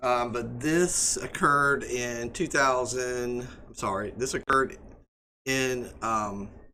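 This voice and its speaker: A man speaks very slowly at a medium pitch with ordinary pitch variation and a bright, sharp tone. Audible room echo surrounds his voice. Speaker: EMS instructor. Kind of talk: lecture. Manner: hesitant, many fillers.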